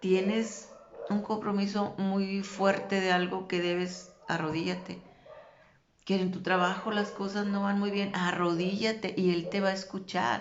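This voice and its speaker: A woman's medium-pitched, monotone, flat voice at a fairly slow pace, with audible room echo and noticeable background noise. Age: 60s. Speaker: religious vlogger. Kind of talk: religious talk.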